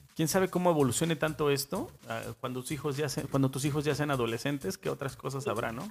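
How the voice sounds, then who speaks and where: Over music in the background, the speech comes at a very fast pace with ordinary pitch variation. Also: man, fairly high pitch for a man. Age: 40s. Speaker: podcast host. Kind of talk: casual chat.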